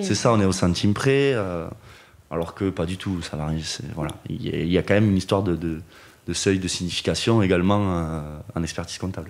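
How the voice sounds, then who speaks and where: A man with a Toulouse accent speaks in a very deep, low voice with ordinary pitch variation. His pace is fairly quick, broken by long, frequent pauses. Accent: southern French (Toulouse). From Toulouse region, southwest France. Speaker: wealth management engineer, trained accountant. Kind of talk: podcast interview answer. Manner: hesitant, many fillers.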